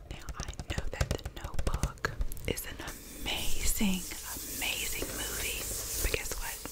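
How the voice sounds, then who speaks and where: A woman whispers very slowly as noticeable background noise runs underneath. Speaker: ASMR creator. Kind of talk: ASMR video, casual talk to camera about VHS movies. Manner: whispered, soft-spoken.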